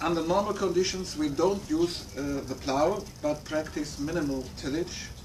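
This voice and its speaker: A man with a German accent speaks at a fairly slow pace, with noticeable background noise and audible room echo. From Germany. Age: 60s. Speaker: farmer. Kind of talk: prepared talk read from notes. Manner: halting.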